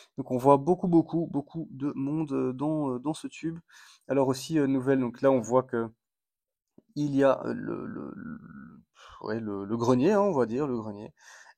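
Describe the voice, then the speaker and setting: The tone is dark and mellow. The pace is fairly slow, with long, frequent pauses. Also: man, medium pitch for a man, ordinary pitch variation, quiet background. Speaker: ant-keeping hobby vlogger. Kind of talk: casual video blog commentary. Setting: at home in apartment. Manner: hesitant, many fillers.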